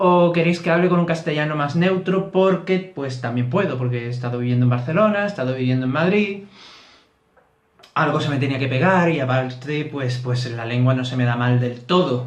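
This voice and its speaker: With an Andalusian accent, a man speaks at a fairly high pitch and a moderate pace, using ordinary pitch variation amid audible room echo. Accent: thick Andalusian (Barbate). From Andalusia, Barbate (Cádiz). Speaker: YouTuber on Celtic reconstructionist religion. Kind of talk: casual explanatory vlog. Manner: hesitant with fillers.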